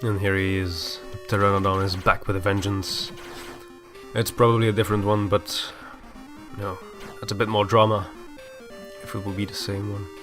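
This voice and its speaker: With music in the background, a man speaks in a fairly low pitch and monotone, flat intonation, leaving long, frequent pauses. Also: big swings in loudness. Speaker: gameplay commentator. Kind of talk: casual gameplay commentary. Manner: fast.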